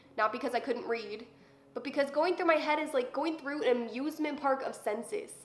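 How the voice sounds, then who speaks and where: A woman talks at a high pitch while music plays in the background. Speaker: poet. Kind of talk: spoken word poetry performance.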